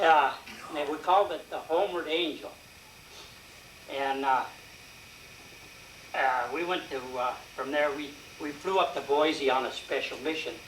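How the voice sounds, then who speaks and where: A man's fairly high voice with an American accent, moderate pace and fairly even intonation, broken by long, frequent pauses, with audible room echo and noticeable background noise. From Colorado, US. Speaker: war veteran. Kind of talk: talk to audience. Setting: meeting with audience. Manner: halting.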